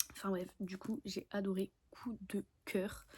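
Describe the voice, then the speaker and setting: A woman's dark, mellow tone comes through somewhat breathy. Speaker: book vlogger. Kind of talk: casual vlog chat. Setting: filming at home in bed. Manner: animated.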